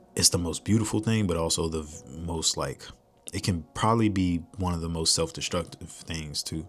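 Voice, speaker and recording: With music playing in the background, a man speaks at a moderate pace in an American accent, his very deep, low pitch moving with ordinary variation. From Washington, D.C., US. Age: 20s. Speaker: rapper and content creator. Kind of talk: solo vlog monologue. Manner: casual, halting with frequent ums.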